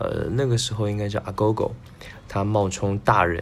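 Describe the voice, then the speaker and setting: A man's moderately paced speech carries audible room echo. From Taiwan. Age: 20s. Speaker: music podcast host. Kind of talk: solo music commentary. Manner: casual with frequent fillers.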